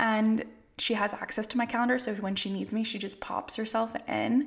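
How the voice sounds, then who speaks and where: This woman has an American accent and a fairly high pitch. She talks at a moderate pace with fairly even intonation and a somewhat breathy quality. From California. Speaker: family therapist. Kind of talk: casual interview chat. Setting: video call.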